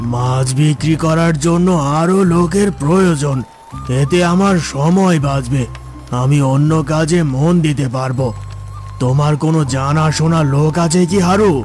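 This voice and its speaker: A man performs a cartoonish character voice at a fairly high pitch and a fairly slow pace. Clear music plays in the background. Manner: domineering.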